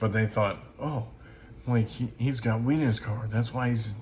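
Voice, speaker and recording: A fairly low, somewhat breathy male voice with fairly even intonation. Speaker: music reviewer. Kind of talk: album review monologue. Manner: slow; halting, many fillers.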